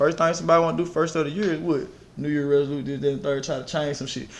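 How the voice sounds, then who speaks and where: Amid audible room echo, a man with a fairly high voice speaks very fast with fairly even intonation. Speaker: fitness trainer. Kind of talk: casual podcast chat. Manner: loud.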